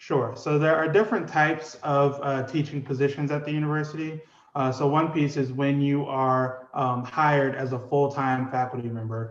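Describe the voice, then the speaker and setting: A man with an American accent, fairly even intonation and a moderate pace. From New Orleans, US South. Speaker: psychology professor. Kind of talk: interview. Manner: hesitant, many fillers.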